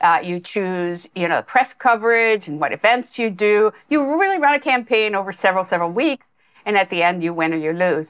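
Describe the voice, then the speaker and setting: A woman with a plain, everyday voice, medium pitch, lively intonation and a fairly quick pace. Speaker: nonprofit chief executive. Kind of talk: casual interview.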